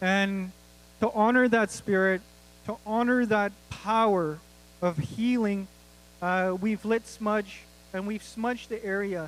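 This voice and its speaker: With a Canadian accent, a man speaks at a very slow pace in a high pitch, his intonation fairly even and broken by long, frequent pauses. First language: Stoney Nakoda. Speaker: event host. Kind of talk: opening remarks at a ceremony.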